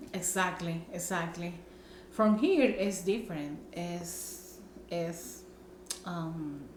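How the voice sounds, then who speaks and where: A woman with a Spanish accent speaks very slowly at a fairly low pitch, with fairly even intonation and long, frequent pauses. Noticeable background noise and audible room echo fill the recording. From Nicaragua. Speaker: vlogger. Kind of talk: casual chat. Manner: halting.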